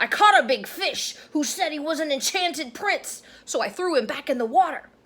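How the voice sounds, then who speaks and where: This is a put-on character voice set at a high pitch. The pace is moderate. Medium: read story. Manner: meek.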